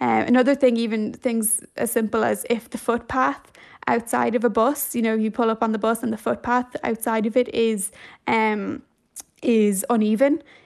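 Against a quiet background, a woman with a fairly high pitch speaks at a moderate pace with fairly even intonation. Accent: Dublin. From Ireland, Dublin. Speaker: journalist. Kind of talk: radio interview.

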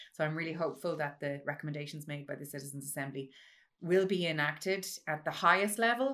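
Speaking very fast in a western Irish accent, a woman has a very deep, low pitch. Her tone is bright and sharp, with ordinary pitch variation. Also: big swings in loudness, very clean recording, silent background. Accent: Irish, western rural. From rural west of Ireland (Mayo). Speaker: mathematics professor and citizens' assembly chair. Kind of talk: interview conversation.

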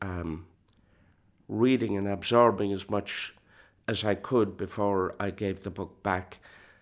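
A man with an Irish accent speaks in a fairly low pitch with monotone, flat intonation. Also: very clean recording, silent background. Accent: Irish (Clare). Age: 60s. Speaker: traditional musician. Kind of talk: reflective interview narration.

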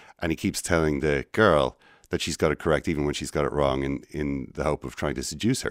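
Dry and close with no echo, a very clean recording with a silent background catches a man with a very deep, low pitch and vocal fry talking at a fairly quick pace with ordinary pitch variation. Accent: Irish. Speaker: radio host. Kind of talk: casual chat. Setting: studio.

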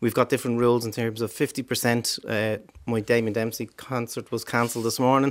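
Over a very clean recording with a silent background, a man at medium pitch talks at a fairly quick pace in a monotone, flat delivery. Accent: Dublin. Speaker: politician. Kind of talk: radio panel debate. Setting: studio.

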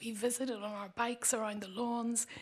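A woman with a Northern Irish accent talks at a moderate pace and a high pitch. Her intonation is monotone and flat. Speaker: writer reading own poem. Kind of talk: reading aloud poetry.

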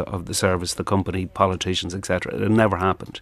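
A man with an Irish accent talks at a very fast pace in a very deep, low pitch. His intonation is monotone and flat against a quiet background. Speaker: trade union official. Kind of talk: radio news interview. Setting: studio.

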